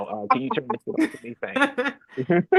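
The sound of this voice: A put-on character voice sounds raspy and fairly high-pitched. It moves at a moderate pace.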